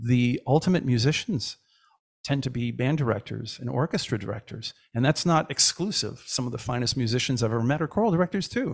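A man with a somewhat breathy voice keeps up a fairly quick pace. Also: medium pitch for a man, ordinary pitch variation. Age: 50s. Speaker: choir director and music educator. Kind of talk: casual chat.

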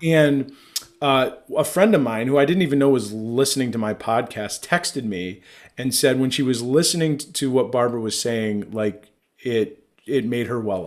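A man talks in an ordinary speaking voice at a medium pitch. His pace is moderate and his pitch variation ordinary. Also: very clean recording, silent background. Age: 30s. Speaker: podcast host. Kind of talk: casual chat.

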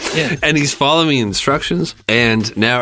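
Bright and sharp in tone, a man talks at a fairly quick pace with ordinary pitch variation. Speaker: podcast co-host. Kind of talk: casual comedic commentary.

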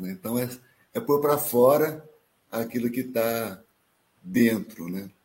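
A man speaks fairly slowly in a medium-pitched voice with a dark, mellow tone. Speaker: live stream host. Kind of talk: live stream hosting.

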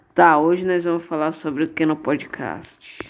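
A man speaks in a flat monotone at a very slow pace. Noticeable background noise runs underneath. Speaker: amateur podcaster, youtuber. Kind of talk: casual chat.

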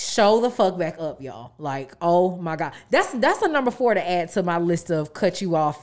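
Lively intonation runs through a normal speaking voice at a moderate pace, with hardly any pauses. The recording is very clean, with a silent background. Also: woman, fairly low pitch for a woman. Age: 20s. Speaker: podcast co-host. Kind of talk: casual chat.

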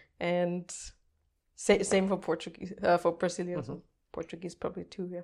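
A woman with a German accent, fairly low-pitched and fairly even in intonation, at a fairly quick pace with long, frequent pauses and big swings in loudness, on a very clean recording with a silent background. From Austria (Vienna). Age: 20s. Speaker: language learner and content creator. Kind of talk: casual podcast interview.

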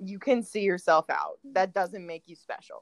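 At a moderate pace, a woman speaks at medium pitch with a slight Midwestern US accent. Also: dry, close sound with no echo. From US Midwest. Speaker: podcast host. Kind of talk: casual chat. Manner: chatty, animated.

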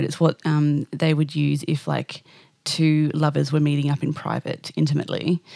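In a dry, close sound with no echo, a woman with a very deep, low pitch speaks at a moderate pace. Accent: Australian. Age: 30s. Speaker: singer-songwriter and podcast host. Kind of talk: casual interview.

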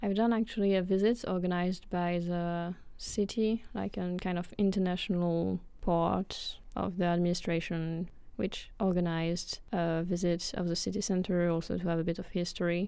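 A woman's fairly low-pitched voice with a dark, mellow tone, at a moderate pace with hardly any pauses and fairly even intonation, in a very clean recording with a silent background. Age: 20s. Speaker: physics student, podcast co-host. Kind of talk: casual chat.

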